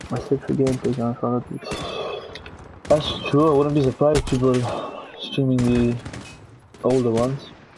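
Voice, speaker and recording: A man at medium pitch and moderate pace, with long, frequent pauses and noticeable background noise. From Gibraltar. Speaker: gaming streamer. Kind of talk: casual live-stream commentary while gaming. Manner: animated.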